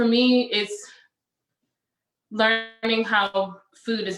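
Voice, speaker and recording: A woman talks in a flat monotone with music playing in the background. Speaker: chef. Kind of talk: panel discussion. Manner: halting.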